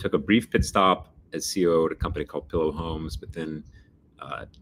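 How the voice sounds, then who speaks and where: A man talks with a slight New York accent. His intonation stays fairly even. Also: big swings in loudness. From Texas, Dallas. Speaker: freight industry executive. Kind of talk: interview.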